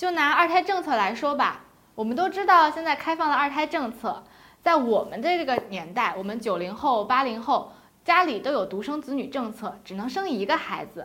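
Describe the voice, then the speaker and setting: Her pitch is high and swings very widely. The woman speaks at a moderate pace. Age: 20s. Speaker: podcast host. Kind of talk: book review chat. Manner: chatty.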